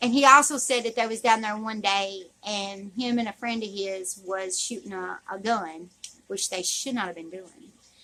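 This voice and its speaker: A woman with a Southern US accent speaks at a fairly slow pace and a medium pitch, her pitch varying an ordinary amount. Her tone is bright and sharp, with big swings in loudness. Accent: southern drawl. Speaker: YouTuber. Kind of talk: storytelling. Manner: halting.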